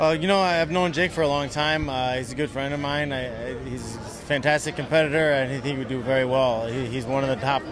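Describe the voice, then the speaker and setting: Barely pausing, a man talks very fast with fairly even intonation, the sound dry with no echo and some noticeable background noise. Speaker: interviewee. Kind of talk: interview answer. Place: hall.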